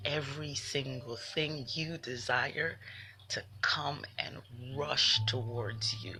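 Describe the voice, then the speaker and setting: Music plays in the background as a woman speaks. Her pace is very slow, with ordinary pitch variation. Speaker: spiritual livestreamer. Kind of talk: livestream motivational talk. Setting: live video stream. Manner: soft-spoken; animated.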